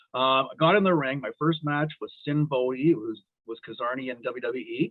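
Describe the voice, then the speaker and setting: An unremarkable speaking voice from a man with a Canadian accent. He talks at a fairly high pitch and a fairly quick pace. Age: 60s. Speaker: wrestling referee and elementary school teacher. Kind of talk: podcast interview storytelling.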